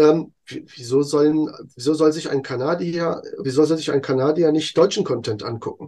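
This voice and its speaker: A man talks in a dark, mellow tone at a fairly high pitch. His pitch variation is ordinary. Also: moderate pace. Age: 40s. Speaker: content creator. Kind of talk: interview.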